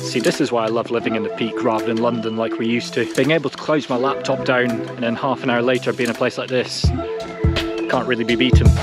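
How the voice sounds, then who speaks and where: A man talks at a very fast pace with hardly any pauses and ordinary pitch variation. Loud music plays in the background, and the sound is dry with no echo. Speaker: walking vlogger. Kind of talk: casual vlog chat. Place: forest. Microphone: phone near.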